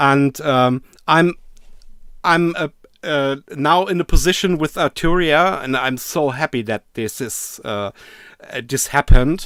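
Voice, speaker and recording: A fairly slow delivery with a German accent, ordinary pitch variation, long and frequent pauses, and a dry, close sound free of echo. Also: man, fairly high pitch for a man. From Germany. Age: 50s. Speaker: synthesizer YouTuber. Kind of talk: casual chat. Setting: video call. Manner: halting.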